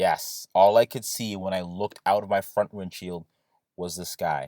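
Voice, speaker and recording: The delivery has an animated tone. The sound is dry and close, with no echo. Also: man. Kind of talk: casual talk to camera. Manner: ranting, animated.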